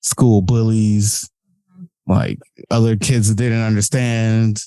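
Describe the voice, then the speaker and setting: Mumbling in a flat monotone, a man speaks at medium pitch with a dark, mellow tone, the sound dry and close with no echo. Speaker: podcast editor and guest. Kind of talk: casual interview chat. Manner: mumbles, runs words together.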